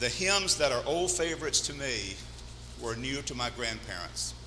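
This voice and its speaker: A man's moderately paced speech carries audible room echo and noticeable background noise. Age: 60s. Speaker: pastor. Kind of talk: sermon.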